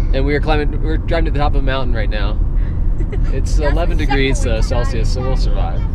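A man talks very fast while loud background noise plays. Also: dry sound with no echo. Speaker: family travel vlogger. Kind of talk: casual vlog chat. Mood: cheerful, amused. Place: car. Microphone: phone near.

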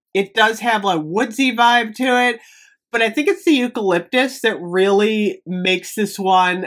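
A woman talks fairly slowly against a quiet background, her pitch varying in an ordinary way. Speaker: product reviewer. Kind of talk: casual product review vlog. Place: home room.

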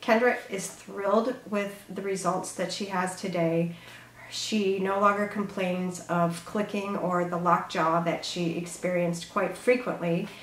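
Speaking fairly slowly, a woman keeps her intonation fairly even. Room echo is audible, with light background noise. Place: office.

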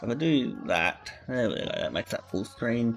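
There is music in the background. A man talks at a moderate pace. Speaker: game streamer. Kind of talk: casual stream chat.

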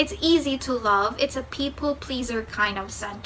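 Faint background noise sits under a bright, sharp tone delivered at a fairly slow pace with ordinary pitch variation. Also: woman.

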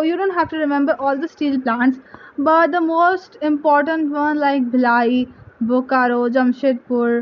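A woman is speaking. Her pace is fairly slow. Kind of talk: study tips tutorial. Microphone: phone near.

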